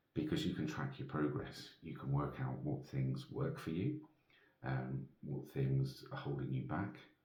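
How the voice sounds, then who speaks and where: A soft-spoken man talks at a fairly slow pace. Room echo is audible. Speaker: vlogger. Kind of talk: casual monologue. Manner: hesitant.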